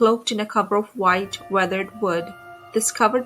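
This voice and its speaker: Music plays in the background as a woman with a medium pitch speaks at a moderate pace with fairly even intonation. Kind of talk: haunted legend narration.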